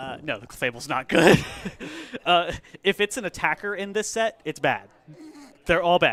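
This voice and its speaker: A man speaks in a high pitch with lively intonation and big swings in loudness. He leaves long, frequent pauses. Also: moderate pace. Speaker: stream commentator at card game store. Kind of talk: casual chat.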